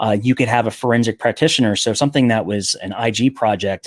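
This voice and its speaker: This voice has ordinary pitch variation and a dry, close sound with no echo. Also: man. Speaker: software solutions consultant. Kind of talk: webinar product demo. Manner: fast.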